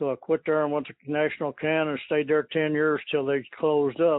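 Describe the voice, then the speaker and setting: In an Appalachian accent, a man talks at a moderate pace. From eastern Kentucky. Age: 70s. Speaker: coon hunter, retired factory worker. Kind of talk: interview. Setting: phone call. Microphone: poor phone audio.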